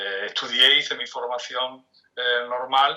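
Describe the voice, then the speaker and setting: A man is speaking. His pace is fairly slow. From Spain, Cádiz (Andalusia). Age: 60s. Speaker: theatre director and arts manager. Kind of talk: interview. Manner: halting, with frequent repetitions.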